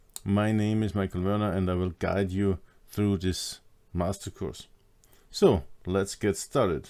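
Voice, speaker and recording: With a German accent, a man speaks at a fairly low pitch in a dark, mellow tone, using fairly even intonation and a fairly slow pace with long, frequent pauses. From Austria. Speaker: hypnosis trainer. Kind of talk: online course lecture.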